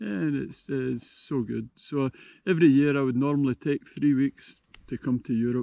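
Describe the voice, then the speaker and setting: A man's fairly high-pitched voice with a Scottish accent. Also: ordinary pitch variation, moderate pace. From Scotland. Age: 70s. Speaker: touring cyclist. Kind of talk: casual interview.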